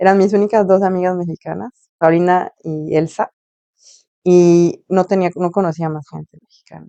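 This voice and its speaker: At a moderate pace, a woman talks at a fairly low pitch in a dark, mellow tone with fairly even intonation and big swings in loudness. The sound is dry and close, with no echo. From Mexico (Morelia, later Tampico). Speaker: journalist. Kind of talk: interview conversation.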